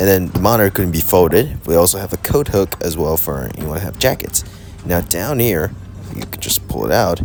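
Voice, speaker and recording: With noticeable background noise behind him, a man with a very deep, low voice speaks at a moderate pace and ordinary pitch variation. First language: Vietnamese. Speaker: aviation vlogger. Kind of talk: travel vlog narration.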